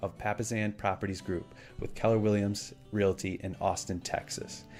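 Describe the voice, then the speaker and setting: Over music in the background, a man with a fairly low voice speaks at a moderate pace in a monotone, flat intonation. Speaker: podcast host. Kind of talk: podcast intro read.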